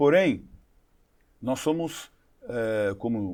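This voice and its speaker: The man's medium-pitched voice makes very wide pitch swings in a very clean recording with a silent background. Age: 60s. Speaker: advertising executive. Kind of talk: interview.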